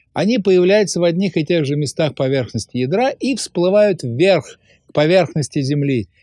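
In a quiet background, a man speaks at a moderate pace with high pitch and lively intonation. His tone is calm, dark and mellow, and the sound is dry with no echo. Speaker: science popularizer. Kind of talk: popular science narration. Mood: calm storytelling. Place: studio.

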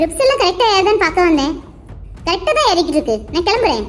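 A woman's cartoonish character voice, squeaky and extremely high-pitched, with very wide pitch swings, a very fast pace and very even loudness, over clear background noise. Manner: polite, businesslike.

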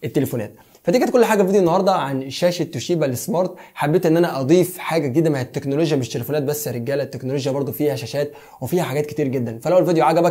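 The tone is dark and mellow, with ordinary pitch variation. The speaker talks very fast in an Egyptian accent. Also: man. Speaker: tech YouTuber. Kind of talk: product review.

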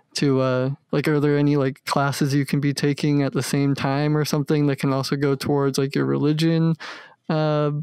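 A normal speaking voice from a man, fairly high in pitch and fairly quick in pace, with a dry, close sound, no echo and a quiet background. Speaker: podcast co-host. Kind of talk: casual chat.

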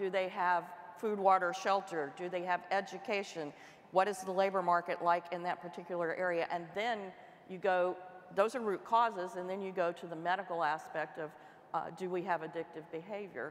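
The woman talks at a fairly quick pace. Her intonation stays fairly even. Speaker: government official; panelist. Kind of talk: panel discussion. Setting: stage with audience. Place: stage. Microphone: lapel.

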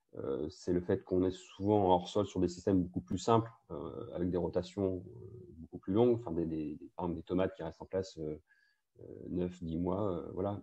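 This man has a very deep, low voice and ordinary pitch variation. He talks at a fairly slow pace over a quiet background. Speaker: agricultural researcher. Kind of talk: presentation. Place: home room. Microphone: earbuds.

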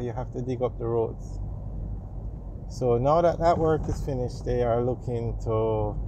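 The speech moves at a moderate pace, with a dry sound lacking echo and light background noise. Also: man. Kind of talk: casual commentary. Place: car. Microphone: phone near.

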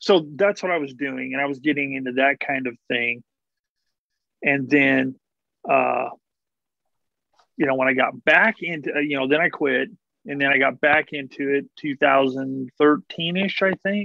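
The pace is fairly slow, with long, frequent pauses and ordinary pitch variation. The background is quiet and the sound is dry with no echo. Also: man. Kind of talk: casual conversation. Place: home room. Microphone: video call.

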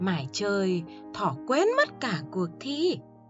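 Someone speaks with a Northern Vietnamese accent while music plays in the background. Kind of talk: bedtime story narration for children.

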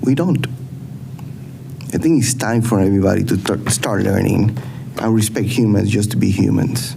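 Medium-pitched male speech at a moderate pace with ordinary pitch variation, plus noticeable background noise and audible room echo. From Latin America. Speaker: city council president. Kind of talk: council meeting remarks.

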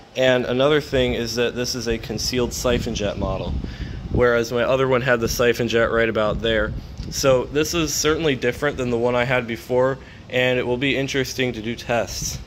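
Over light background noise, a man talks at a fairly quick pace with fairly even intonation. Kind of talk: casual vlog commentary. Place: garden. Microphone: phone near.

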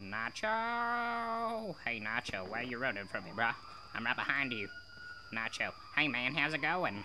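Loud background noise sits behind a man doing a put-on character voice at medium pitch and a moderate pace. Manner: casual, chatty.

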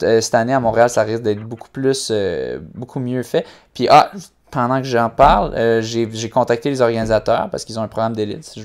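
The speech moves at a moderate pace in a flat monotone over a quiet background. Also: man. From Quebec. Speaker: running podcast host. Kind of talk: casual chat. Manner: halting, many fillers. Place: home room. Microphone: earbuds.

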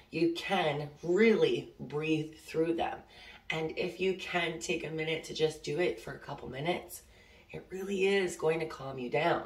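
A woman talks fairly slowly at a fairly low pitch, her intonation fairly even but her loudness swinging widely, with audible room echo. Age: 30s. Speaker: oracle card reader. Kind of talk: casual spiritual vlog; guided breathing. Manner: casual, filler-heavy. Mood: calm, warm, reassuring. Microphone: phone near.

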